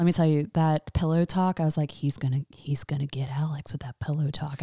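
A woman with an American accent speaks very fast in a flat monotone, her very deep, low voice dark, mellow and somewhat breathy. There are hardly any pauses, and the sound is dry and close with no echo. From US South, North Carolina (Raleigh). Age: 30s. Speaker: podcast guest, host's best friend. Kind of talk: casual chat.

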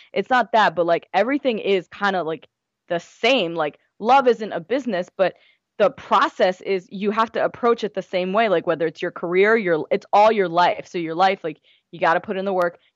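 A woman with an American accent and a plain, everyday voice speaks at a moderate pace in a medium pitch with ordinary pitch variation. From US, Gujarati Indian family. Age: 20s. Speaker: blogger and writer. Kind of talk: casual interview chat.

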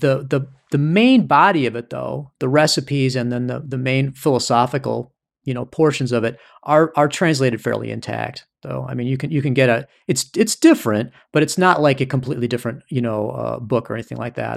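A man with a strong Midwestern US accent at a medium pitch, fairly quick pace and ordinary pitch variation, in a very clean recording with a silent background. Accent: heavy Midwestern US. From US Midwest. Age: 50s. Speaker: author and astrology practitioner. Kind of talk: casual interview conversation.

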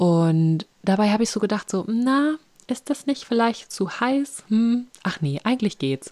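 Her tone is dark and mellow, her pitch medium, her pace fairly slow. This woman's pitch swings very widely. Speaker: podcast host. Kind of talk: casual interview chat. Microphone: voice sometimes robotic and slow due to internet connection.

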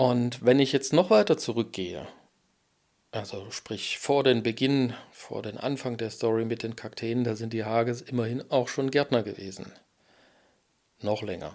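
A man at medium pitch, fairly slow and marked by long, frequent pauses, with ordinary pitch variation. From Germany, Erfurt (Thuringia). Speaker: podcast host and cactus grower. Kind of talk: casual monologue. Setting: in a greenhouse nursery at dusk.

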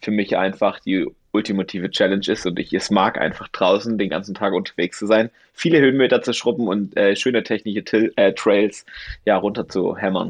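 This man speaks at a fairly quick pace and a fairly low pitch. His is a normal speaking voice with ordinary pitch variation. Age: 30s. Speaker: ultrarunner and shoe-brand representative. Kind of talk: casual chat.

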